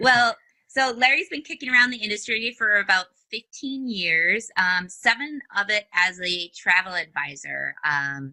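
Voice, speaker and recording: A woman with a northern US accent and a bright, sharp tone, very wide pitch swings and a fairly slow pace, in a dry, close sound with no echo. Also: fairly high pitch for a woman. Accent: northern US, long O's. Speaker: podcast host. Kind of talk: interview.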